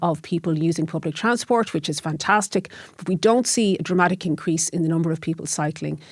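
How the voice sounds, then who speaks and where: With a Dublin accent, a woman speaks very fast with a fairly low pitch and ordinary pitch variation, on a very clean recording with a silent background. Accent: Irish (Dublin). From Ireland, Dublin. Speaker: lecturer and cycling activist. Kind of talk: interview. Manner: hesitant, with fillers and repetitions.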